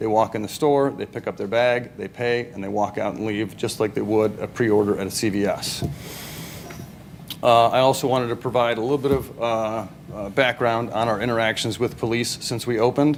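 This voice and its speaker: At a fairly quick pace and medium pitch, a man speaks with fairly even intonation over noticeable background noise. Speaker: business presenter. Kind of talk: public presentation. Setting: city council meeting. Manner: fast; halting, many fillers.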